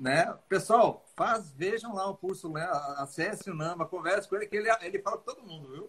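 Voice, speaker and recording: A high-pitched man at a fairly quick pace, with ordinary pitch variation and big swings in loudness. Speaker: dentist and live-stream host. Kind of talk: live-stream interview.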